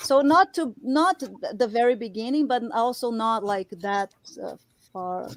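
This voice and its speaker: Recorded with a dry, close sound and no echo, a woman speaks at a fairly slow pace and fairly high pitch with lively intonation. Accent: Brazilian Portuguese. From Brazil. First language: Portuguese. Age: 40s. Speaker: artist and sculptor. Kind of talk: casual interview chat. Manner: animated.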